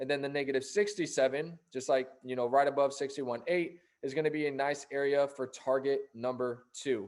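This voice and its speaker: Speaking with hardly any pauses, a man uses a fairly high pitch and fairly even intonation. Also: fairly quick pace. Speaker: forex trading educator. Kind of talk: tutorial. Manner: fast.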